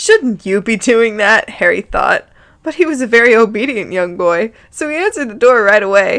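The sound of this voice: The lively intonation carries through an unforced reading voice.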